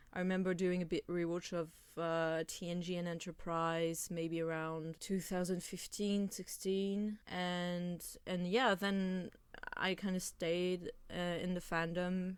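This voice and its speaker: A woman with a French accent speaks at a fairly slow pace and fairly low pitch, her intonation monotone and flat. The recording is very clean with a silent background. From France. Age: 20s. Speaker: podcast co-host. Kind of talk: casual chat.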